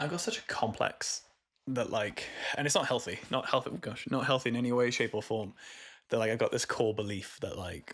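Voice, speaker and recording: The speaker has a Welsh accent. The pace is fairly quick. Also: man, very clean recording, silent background. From Wales, Cardiff area. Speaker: musician. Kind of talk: podcast interview.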